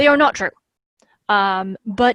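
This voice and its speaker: The very clean recording with a silent background captures a woman's lively intonation in a dry, close sound with no echo. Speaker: speaker on accessible crafting. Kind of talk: talk with slides. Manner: fast.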